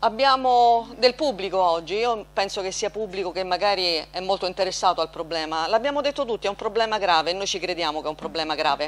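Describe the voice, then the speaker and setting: With lively intonation and hardly any pauses, a woman talks at a very fast pace. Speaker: council president chairing the session. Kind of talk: formal council proceedings. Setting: council chamber. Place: hall. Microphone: podium.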